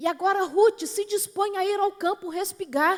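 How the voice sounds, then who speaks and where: A woman with a São Paulo accent is heard in a dry, close sound with no echo. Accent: São Paulo Brazilian Portuguese. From São Paulo, Brazil. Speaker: preacher. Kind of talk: sermon. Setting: church platform.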